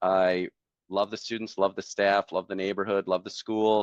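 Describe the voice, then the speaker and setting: With a strong Wisconsin accent, a man speaks at a moderate pace in a dry, close sound with no echo and a quiet background. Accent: thick Wisconsin. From central Wisconsin. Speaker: software salesperson, former teacher. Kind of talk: interview, casual storytelling.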